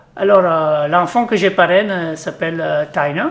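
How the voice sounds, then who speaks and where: Speaking with an Italian accent, a man uses a high pitch with ordinary variation at a moderate pace. Noticeable background noise can be heard. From Italy. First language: Italian (speaking French). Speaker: company executive, charity sponsor. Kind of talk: interview. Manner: halting, many hesitations.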